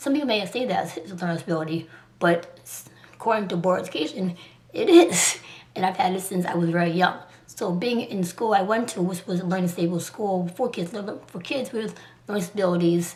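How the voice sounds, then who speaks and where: Over noticeable background noise, a woman with an American accent speaks at a medium pitch and a fairly quick pace. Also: ordinary pitch variation. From Liberia, came to US at age two. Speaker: artist and vlogger. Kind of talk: personal vlog. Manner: fast; halting.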